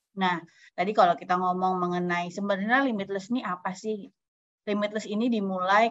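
Against a quiet background, a woman speaks at a fairly quick pace with medium pitch and fairly even intonation. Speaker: humanitarian organisation youth official; webinar speaker. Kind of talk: online farewell speech. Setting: video call. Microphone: video call.

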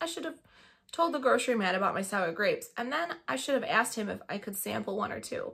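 The intonation is lively as a passage is read aloud in a natural voice.

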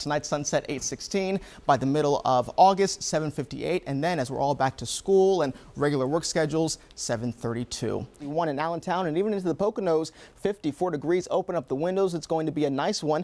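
At a fairly quick pace, a man talks with a fairly high pitch for a man and ordinary pitch variation. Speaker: TV meteorologist. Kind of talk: TV weather report, live on location. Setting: outdoors. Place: studio.

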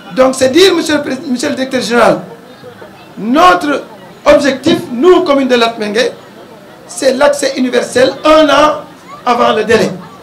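Over crowd noise, a man talks in an extremely high pitch, leaving long and frequent pauses. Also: ordinary pitch variation, fairly slow pace. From Senegal. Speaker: mayor. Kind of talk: public speech. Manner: formal. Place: street. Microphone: handheld.

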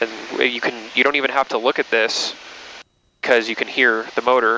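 A man speaks in a bright, sharp tone at a moderate pace, his intonation monotone and flat. The sound is dry with no echo, with light background noise. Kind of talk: casual instruction. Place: plane.

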